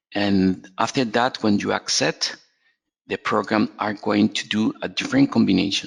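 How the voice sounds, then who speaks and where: This man has a Spanish accent. He talks at a fairly slow pace. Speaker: software trainer. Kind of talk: webinar tutorial. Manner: halting, many fillers and repetitions.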